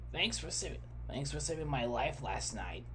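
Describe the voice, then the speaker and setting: A put-on character voice at a moderate pace, amid loud background noise. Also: man. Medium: read story. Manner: hesitant, filler-heavy.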